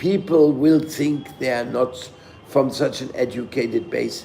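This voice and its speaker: Amid noticeable background noise and audible room echo, a man with a non-native accent speaks at a fairly high pitch. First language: not English. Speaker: spiritual teacher. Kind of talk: scripture lecture. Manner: halting.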